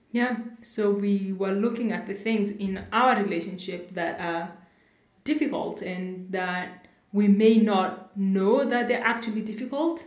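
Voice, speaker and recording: A woman speaks at a fairly slow pace and a medium pitch with ordinary pitch variation. Noticeable background noise is present. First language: not English (English is third language). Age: 30s. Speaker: podcast host. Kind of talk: casual conversational podcast.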